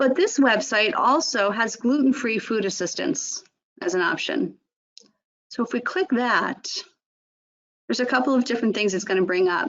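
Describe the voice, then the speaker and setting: Lively intonation runs through the speech, broken by long, frequent pauses. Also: woman. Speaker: nutrition educator. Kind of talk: webinar presentation. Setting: online webinar. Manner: fast.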